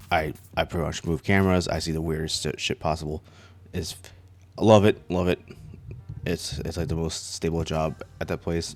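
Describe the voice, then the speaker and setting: Speaking at a moderate pace with long, frequent pauses, a man talks in a very deep, low voice with fairly even intonation. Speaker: YouTuber, casino surveillance worker. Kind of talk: casual chat. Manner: halting, stuttering.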